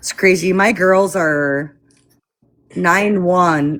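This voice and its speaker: With a Midwestern accent, a woman speaks using ordinary pitch variation. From US Midwest. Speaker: live stream participant. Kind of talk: casual chat.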